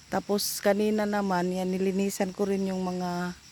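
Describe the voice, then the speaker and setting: A woman talks at a fairly slow pace. Her pitch is medium and her tone dark and mellow. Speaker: vlogger. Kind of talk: casual vlog narration.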